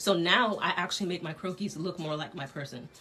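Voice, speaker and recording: With an American accent, a woman speaks at a fairly low pitch and a fairly quick pace over noticeable background noise. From Connecticut. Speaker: dress designer teaching a sketching class. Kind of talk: online class tutorial. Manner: fast; casual, with many fillers.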